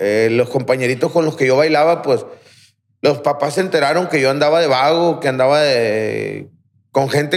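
Fairly high in pitch with ordinary pitch variation, a man talks at a moderate pace in an unremarkable speaking voice. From Aguaruto, Culiacán, Sinaloa, Mexico. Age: 30s. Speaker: rehab center director, recovering addict. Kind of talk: testimony.

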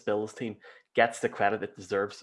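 This man speaks with an Irish accent. His pitch is medium. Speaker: podcast host. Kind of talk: casual interview.

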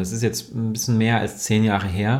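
At a medium pitch and moderate pace, a man talks in an unremarkable speaking voice. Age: 30s. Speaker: yoga and mindfulness teacher. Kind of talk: podcast interview.

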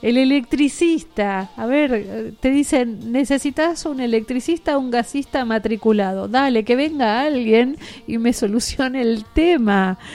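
A woman with a high voice talks at a fairly slow pace with ordinary pitch variation and hardly any pauses, over noticeable background noise. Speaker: radio host. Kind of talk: radio chat show. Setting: radio studio. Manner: animated.

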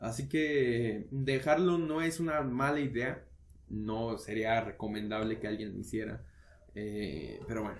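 With audible room echo, a man talks at a fairly slow pace, his medium-pitched voice carrying lively intonation. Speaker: podcast co-host. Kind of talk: casual chat.

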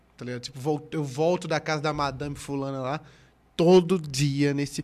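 A man speaks at a moderate pace in an unremarkable speaking voice, his pitch fairly high for a man. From Pernambuco, Brazil. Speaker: comedian. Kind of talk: casual chat.

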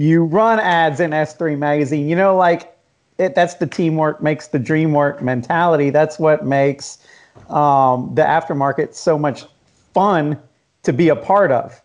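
A man with a plain, everyday voice and an American accent speaks at a fairly slow pace with a fairly high pitch. His loudness stays very even, and his pitch variation is ordinary. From US Southeast, Jacksonville and Atlanta. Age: 40s. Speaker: magazine founder and podcast host. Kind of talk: casual chat.

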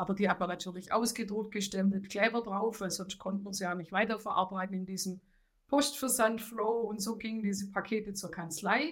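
A woman with a Swabian accent talks at a fairly quick pace and a medium pitch. Her voice is somewhat breathy, with fairly even intonation. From Swabia, southern Germany. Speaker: head of financial accounting. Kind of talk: interview.

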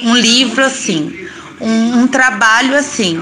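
Noticeable background noise sits behind a woman speaking in a fairly high pitch. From São Paulo periphery, Brazil. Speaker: food entrepreneur.

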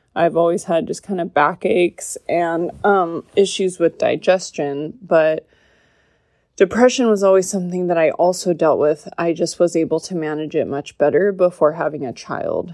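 With a dark, mellow tone and fairly even intonation, a woman speaks at a fairly low pitch over a quiet background. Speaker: podcast host. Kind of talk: personal testimony monologue. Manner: slow; monotone.

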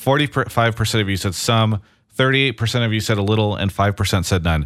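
Using an ordinary speaking voice, a man at a medium pitch talks at a fairly quick pace with ordinary pitch variation. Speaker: esports podcast host. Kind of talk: casual chat. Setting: home studio, remote.

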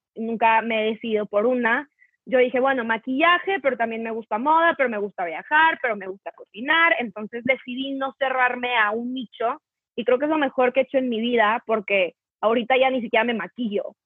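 A woman's high voice at a fairly quick pace, with ordinary pitch variation. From northern Mexico, Torreón. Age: 20s. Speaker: content creator. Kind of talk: casual chat.

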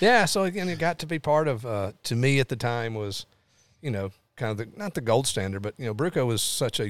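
On a very clean recording with a silent background, a man with a Tennessee accent speaks at a fairly quick pace. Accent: Southern US (Tennessee). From Tennessee, Lawrenceburg. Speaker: motorsport event executive. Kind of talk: casual interview.

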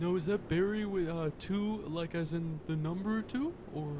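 A man's put-on character voice, high-pitched for a man, at a moderate pace over clear background noise. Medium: actual play. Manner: warm, agreeable, gentle.

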